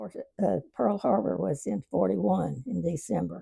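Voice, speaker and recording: A woman with an Arkansas accent speaks in a very deep, low pitch with very wide pitch swings and a dark, mellow tone, in a dry, close sound with no echo. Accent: Southern US (Arkansas). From Arkansas, US South. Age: 90s. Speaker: elderly interviewee. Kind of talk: casual interview reminiscence. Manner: halting.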